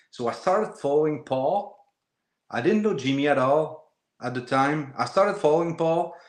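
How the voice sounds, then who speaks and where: Lively intonation in a Quebec accent at a moderate pace. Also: man. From Quebec, Shawinigan. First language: French. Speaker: woodworker and wood turner. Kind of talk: casual interview chat. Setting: live video interview. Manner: hesitant, many fillers and repeats.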